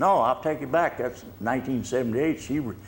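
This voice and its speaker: A man in a Texan accent at medium pitch. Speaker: retired city official, war veteran. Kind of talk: interview. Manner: halting.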